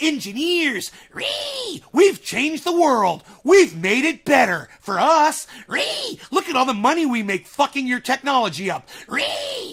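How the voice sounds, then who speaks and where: Shouting in a put-on character voice of extremely high pitch, a man speaks at a fairly slow pace. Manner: yelling, mocking, angry.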